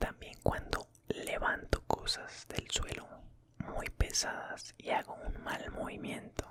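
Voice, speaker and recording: A man is whispering at a very slow pace with noticeable background noise behind him. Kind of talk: ASMR storytime. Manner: soft-spoken, whispered.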